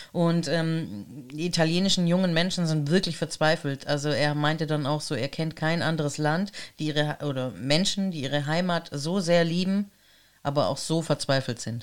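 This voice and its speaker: At a moderate pace, a woman with a very deep, low pitch speaks with ordinary pitch variation over a very clean recording and silent background. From Germany, Italian family. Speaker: podcast co-host. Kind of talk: casual chat.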